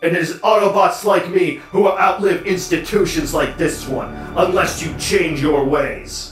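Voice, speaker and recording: In a put-on character voice, a man speaks at a high pitch and moderate pace, with clear music in the background and slight echo. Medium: dub. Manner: impassioned, defiant.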